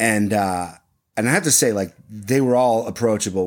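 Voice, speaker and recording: In an American accent, a man speaks at a moderate pace with ordinary pitch variation, recorded very cleanly against a silent background. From US Midwest, Ohio (Muirfield area). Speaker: voiceover artist for golf commercials. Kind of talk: casual interview.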